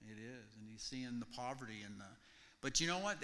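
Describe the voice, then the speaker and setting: A man's bright, sharp voice with lively intonation. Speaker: mission team member. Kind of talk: testimony to congregation. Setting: church.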